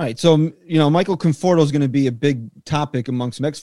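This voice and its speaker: Here is a man with an unremarkable speaking voice. He talks fairly quickly, with ordinary pitch variation. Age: 30s. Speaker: podcast host. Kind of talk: casual chat.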